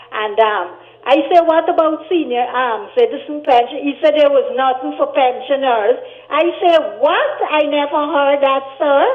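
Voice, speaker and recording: A woman's high voice with lively intonation over noticeable background noise. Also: fairly slow pace. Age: 60s. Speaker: caller. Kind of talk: phone-in request. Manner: halting.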